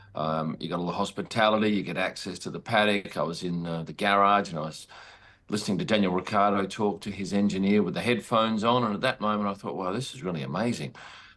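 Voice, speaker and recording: A man speaks very fast in an Australian accent. His pitch is fairly low, and the background is quiet. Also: ordinary pitch variation. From Western Australia, Perth. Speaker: sports photographer. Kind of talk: interview.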